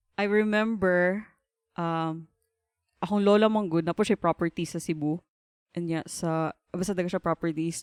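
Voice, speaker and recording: A woman's fairly low voice with fairly even intonation and long, frequent pauses, in a very clean recording with a silent background and a dry, close sound with no echo. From Philippines, Davao (Mindanao). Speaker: embroidery business owner. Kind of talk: podcast interview.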